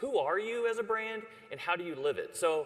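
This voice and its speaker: Over noticeable background noise, a man with a Texan accent speaks with lively intonation. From Texas (Dallas). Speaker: ad agency creative chief. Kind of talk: conference presentation. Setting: stage with audience. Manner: casual.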